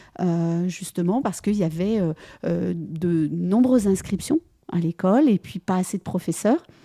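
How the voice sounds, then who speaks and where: A woman speaks at a medium pitch and a fairly slow pace, with a dark, mellow tone and ordinary pitch variation. The recording is very clean with a silent background and a dry, close sound with no echo. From France. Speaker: French-as-second-language teacher. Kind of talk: casual interview. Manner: halting, many hesitations.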